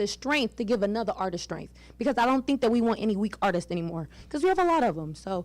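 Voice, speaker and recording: A loud woman's voice, fairly high in pitch with very wide pitch swings, at a fairly quick pace on a very clean recording with a silent background. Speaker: audience member asking a question. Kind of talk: question at a public pitch event.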